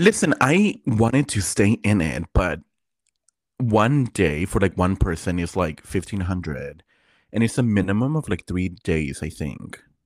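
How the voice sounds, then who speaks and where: In a very clean recording with a silent background and a dry, close sound with no echo, a man with an unremarkable speaking voice and fairly low pitch talks at a fairly slow pace with lively intonation. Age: 20s. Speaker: podcast co-host. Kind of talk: casual chat.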